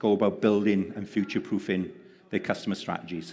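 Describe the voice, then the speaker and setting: A man speaks with a Welsh accent. His pitch sits fairly low. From Wales. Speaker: panel moderator. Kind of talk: panel discussion.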